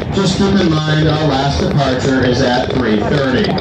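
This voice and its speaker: Music plays in the background and the room echo is audible. The speech moves at a moderate pace. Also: man. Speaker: train crew narrator. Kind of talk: onboard announcement and commentary. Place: train.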